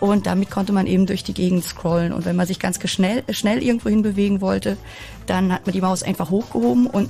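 Over noticeable background noise, a woman with a medium pitch talks at a very fast pace with ordinary pitch variation. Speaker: usability expert. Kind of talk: casual chat.

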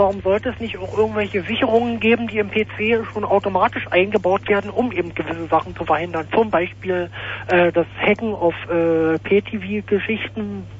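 Against noticeable background noise, the talking proceeds at a moderate pace. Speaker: radio caller. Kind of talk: phone-in debate. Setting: phone call.

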